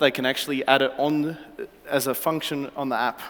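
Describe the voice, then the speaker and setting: A man speaks with an Australian accent at a moderate pace. His pitch is fairly high and his intonation fairly even. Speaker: startup founder pitching. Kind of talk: startup pitch. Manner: halting, many fillers.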